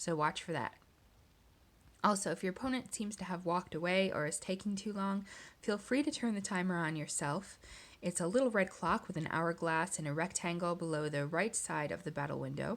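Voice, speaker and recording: At a fairly quick pace, a woman with an ordinary speaking voice talks in a fairly low pitch with ordinary pitch variation, in a very clean recording with a silent background. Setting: screen recording voiceover.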